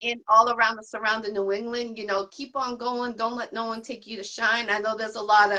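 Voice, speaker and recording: Talking at a fairly quick pace with hardly any pauses, a woman with a Boston accent keeps a fairly high pitch, a bright, sharp tone and a monotone, flat intonation. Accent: Boston accent, mistaken for New York. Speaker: podcast host. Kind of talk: casual interview chat.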